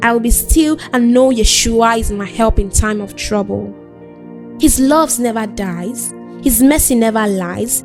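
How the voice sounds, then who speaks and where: Over music in the background, a woman talks at a fairly slow pace and a fairly high pitch with ordinary pitch variation. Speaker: spoken word poet. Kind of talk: spoken word poetry performance.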